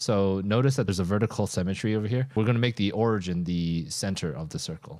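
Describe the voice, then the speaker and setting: The speaker has a plain, everyday voice with ordinary pitch variation and a fairly quick pace. The recording is very clean, with a silent background. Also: man. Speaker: CAD tutorial creator. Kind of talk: tutorial.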